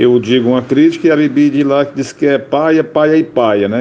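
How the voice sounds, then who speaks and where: Noticeable noise runs in the background. Over it, a man talks. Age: 60s. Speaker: radio comedian. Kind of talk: interview.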